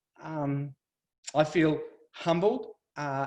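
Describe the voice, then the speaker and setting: The speaker has an Australian accent. Pitch varies in an ordinary way. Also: man. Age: 60s. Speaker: family violence survivor advocate. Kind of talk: speech. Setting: webinar.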